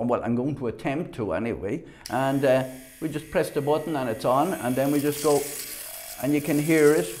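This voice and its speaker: Noticeable background noise sits behind this recording. A man with an Irish accent speaks in a fairly high voice. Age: 60s. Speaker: product reviewer. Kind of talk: product demonstration. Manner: halting.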